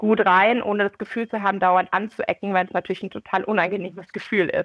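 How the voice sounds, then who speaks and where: Fairly even intonation marks a normal speaking voice. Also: woman. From Munich, Bavaria. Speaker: entrepreneur and graduate student. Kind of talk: interview.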